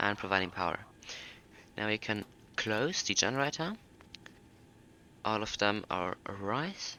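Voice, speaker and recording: A man with a German accent speaks at a fairly slow pace in a fairly low pitch, with ordinary pitch variation and long, frequent pauses. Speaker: flight simulator youtuber. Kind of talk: tutorial.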